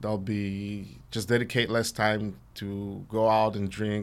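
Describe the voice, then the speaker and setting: With a Mexican accent, a man speaks at a fairly low pitch and with fairly even intonation. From Central West Mexico. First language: Spanish. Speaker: chef. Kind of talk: casual interview chat. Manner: hesitant, filler-heavy.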